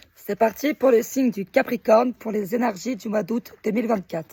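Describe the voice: Using a hoarse, put-on character voice, a man speaks at a moderate pace in a high pitch, with a dry, close sound and no echo.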